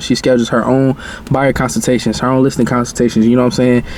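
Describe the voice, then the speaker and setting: Against noticeable background noise, a man speaks at a very fast pace with a medium pitch and monotone, flat intonation. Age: 20s. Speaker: content creator and new real estate agent. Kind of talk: casual vlog talking to camera. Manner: conversational, filler-heavy.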